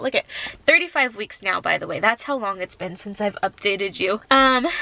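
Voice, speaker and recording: Against noticeable background noise, a woman talks very fast at a medium pitch. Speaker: family vlogger. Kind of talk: casual vlog talk to camera. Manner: casual, filler-heavy.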